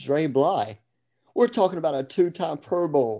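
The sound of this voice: The voice has a dark, mellow tone, with lively intonation at a fairly slow pace. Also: man.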